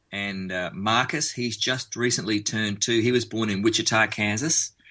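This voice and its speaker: Bright and sharp in tone, a man with an Australian accent speaks at a moderate pace and fairly low pitch with ordinary pitch variation over a quiet background. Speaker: musician. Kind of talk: radio interview.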